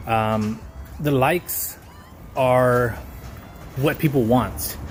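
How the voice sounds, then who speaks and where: Very slow male speech at a medium pitch with fairly even intonation, amid noticeable background noise. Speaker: vlogger / aspiring entrepreneur. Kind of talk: casual vlog monologue. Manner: stuttering, halting. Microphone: poor recording quality.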